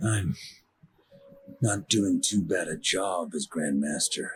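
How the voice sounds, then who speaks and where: Using a put-on character voice, a man talks at a fairly slow pace in a raspy, fairly low register. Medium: video game.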